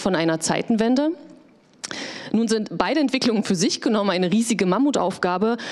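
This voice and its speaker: Against a quiet background, a woman talks at a fairly quick pace with ordinary pitch variation. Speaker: panel moderator. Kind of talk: moderated panel discussion. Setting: stage with audience. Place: hall. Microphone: handheld.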